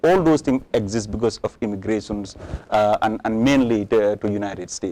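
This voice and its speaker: A man with an African accent, a medium pitch and a dark, mellow tone, at a moderate pace with ordinary pitch variation. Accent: African accent, somewhat improved. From Gambia. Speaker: politician. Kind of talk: interview. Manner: halting.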